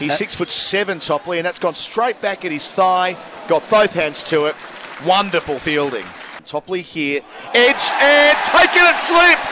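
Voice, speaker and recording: A man's high-pitched voice with lively intonation at a moderate pace, crowd noise in the background. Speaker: cricket commentator. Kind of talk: live ball-by-ball cricket commentary. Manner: brisk, measured play-by-play delivery.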